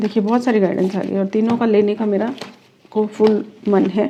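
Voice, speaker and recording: A woman's flat, monotone delivery comes through noticeable background noise. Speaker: reiki master and tarot card reader. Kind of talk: tarot reading, spiritual guidance to camera. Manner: calm, explanatory, conversational.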